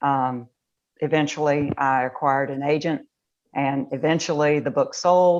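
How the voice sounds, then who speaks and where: A woman speaks in a slight Southern US accent with a very deep, low pitch. Her intonation is fairly even, and the background is quiet. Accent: slight Southern twang. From Raleigh, North Carolina. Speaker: novelist. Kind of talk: interview chat. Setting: live video call.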